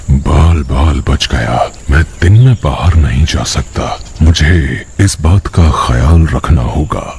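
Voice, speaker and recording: Over clear background noise, a man does a cartoonish character voice with a very deep, low pitch at a fairly slow pace. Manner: rough, bossy.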